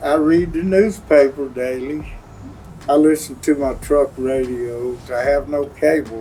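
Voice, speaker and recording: Over noticeable background noise, a man talks fairly slowly at a fairly high pitch with ordinary pitch variation. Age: 70s. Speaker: war veteran. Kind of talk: interview. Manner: hesitant, many fillers.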